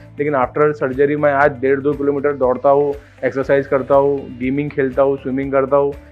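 With faint music in the background, a man talks at a moderate pace in a fairly high pitch. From Maharashtra, India. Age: 20s. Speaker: bariatric surgery patient. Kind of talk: patient testimonial to camera. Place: office. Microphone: lapel.

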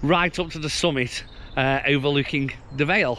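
A man talks at a moderate pace. The sound is dry with no echo, over light background noise. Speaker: cycling vlogger. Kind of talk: casual vlog chat. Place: bicycle. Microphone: phone near.

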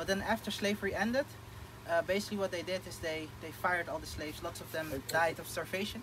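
A high-pitched man in a Dutch accent at a very fast pace, with ordinary pitch variation and noticeable background noise. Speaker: agricultural entrepreneur planning projects in The Gambia. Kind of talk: casual interview chat. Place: open country. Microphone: phone near.

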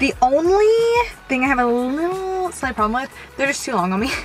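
Faint music plays in the background. The sound is dry, with no echo. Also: woman. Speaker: fashion vlogger. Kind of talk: casual vlog chat. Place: car. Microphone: phone near.

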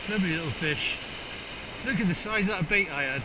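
A man speaks at a fairly quick pace with a high pitch. There is clear background noise. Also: ordinary pitch variation.

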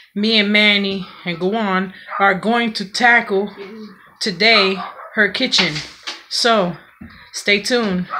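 Over noticeable background noise, a woman speaks at a very slow pace with long, frequent pauses and a fairly even intonation. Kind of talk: casual vlog chat. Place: kitchen. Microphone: phone near.

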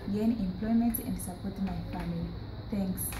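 A woman talks while noticeable background noise carries on behind her. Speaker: vocational program graduate. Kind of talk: testimonial to camera. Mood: cheerful, grateful. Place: office. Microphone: camera far.

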